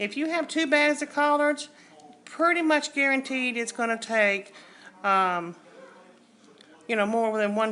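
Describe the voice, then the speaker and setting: In a Southern US accent, a woman speaks at a fairly slow pace with lively intonation. Her tone is bright and sharp. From US South. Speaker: cooking channel host. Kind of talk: cooking tutorial. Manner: casual, conversational.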